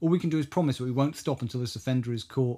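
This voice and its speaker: A man speaks at a medium pitch with ordinary pitch variation. He has a British accent. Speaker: podcast host. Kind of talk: casual chat.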